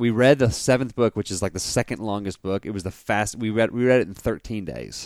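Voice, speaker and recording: In an ordinary speaking voice, a man talks at a fairly quick pace with hardly any pauses, fairly low in pitch and with ordinary pitch variation. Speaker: podcast host. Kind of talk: casual chat. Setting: video call.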